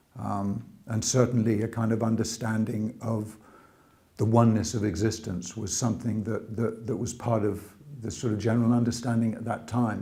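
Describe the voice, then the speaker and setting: A man with a British accent, dark and mellow in tone, somewhat breathy, medium in pitch, fairly quick and monotone, amid audible room echo. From England, boarding school; early childhood New York. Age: 60s. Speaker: religious convert telling his story. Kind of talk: testimony. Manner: hesitant, many fillers.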